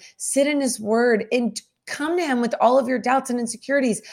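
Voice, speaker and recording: A woman speaks with an American accent at a fairly quick pace. Her pitch is high. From US South. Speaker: singer-songwriter and author. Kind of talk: faith podcast interview.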